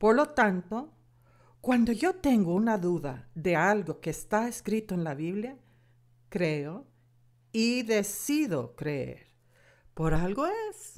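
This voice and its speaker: A woman with an American accent speaks at a very slow pace in a medium pitch, with very wide pitch swings. Long, frequent pauses appear throughout a very clean recording with a silent background. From United States. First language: English (speaking Spanish). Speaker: Bible course teacher. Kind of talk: lecture.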